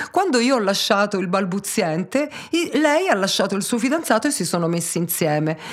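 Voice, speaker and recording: A woman at a medium pitch with very wide pitch swings, against noticeable background noise. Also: fairly quick pace. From Tuscany, Pisa. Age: 40s. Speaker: hairdresser. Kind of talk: interview.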